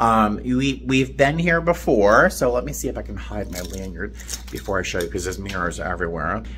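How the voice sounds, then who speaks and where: Over light background noise, a man with a very deep, low pitch talks at a fairly quick pace with very wide pitch swings. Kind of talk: casual vlog chat. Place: home room. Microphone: phone near.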